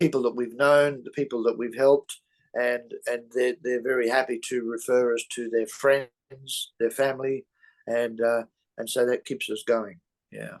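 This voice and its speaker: Speaking with an Australian accent, a man of medium pitch keeps fairly even intonation at a moderate pace. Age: 70s. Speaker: real estate investor. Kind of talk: interview. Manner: halting, many fillers. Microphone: mic problem mentioned.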